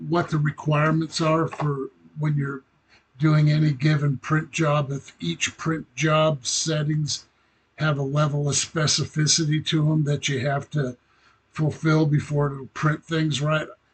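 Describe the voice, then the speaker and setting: Somewhat breathy and fairly high in pitch, a man talks at a fairly slow pace. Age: 60s. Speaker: hobbyist model builder. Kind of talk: casual vlog update. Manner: halting, many fillers.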